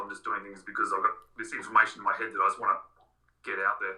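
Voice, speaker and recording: Talking very fast, a man speaks with an Australian accent. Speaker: watch YouTuber. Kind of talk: casual chat.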